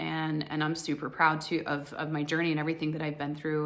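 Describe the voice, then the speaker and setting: Audible room echo surrounds a woman whose very deep, low voice holds a monotone, flat intonation in an American accent. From US, Colorado. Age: 40s. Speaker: divorce coach and spiritual vlogger. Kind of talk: personal monologue to camera. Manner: casual, with many fillers.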